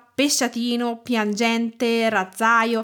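A woman with an Italian accent at a fairly high pitch and fairly slow pace, on a very clean recording with a silent background. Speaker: food writer and cooking teacher. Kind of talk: scripted presentation.

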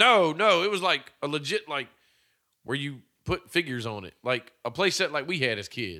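A man talks at a moderate pace with fairly high pitch, very wide pitch swings and vocal fry. The recording is very clean, with a silent background. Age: 40s. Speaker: podcast co-host. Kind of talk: casual chat.

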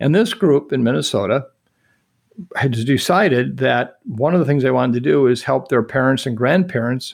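In a very clean recording with a silent background, a man with vocal fry speaks at a medium pitch and moderate pace, with ordinary pitch variation. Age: 60s. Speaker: infectious disease expert. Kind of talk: interview.

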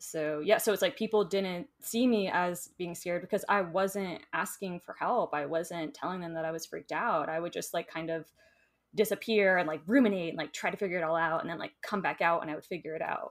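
Speaking at a fairly quick pace, a woman has an American accent and an unremarkable speaking voice. Her pitch is fairly low, with ordinary variation. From Florida, US. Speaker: enneagram teacher and social worker. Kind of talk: casual interview chat. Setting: video call.

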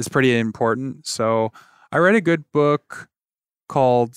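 The voice has a Midwestern American accent and a fairly slow pace. The sound is dry and close, with no echo. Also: man. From Michigan, near Detroit. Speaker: tech recruitment director. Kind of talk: interview.

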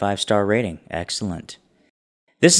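The recording of this man is very clean with a silent background, and his pitch varies in an ordinary way. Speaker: tabletop game podcast player. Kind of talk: casual chat. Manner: halting, repeats words.

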